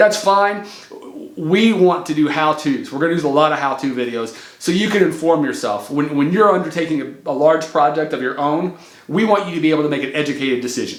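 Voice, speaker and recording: A man with a fairly high voice talks at a fairly quick pace with ordinary pitch variation, heard through audible room echo and noticeable background noise. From US Midwest. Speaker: remodeling contractor and channel host. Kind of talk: casual channel intro talk to camera. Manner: casual, with many fillers and restarts.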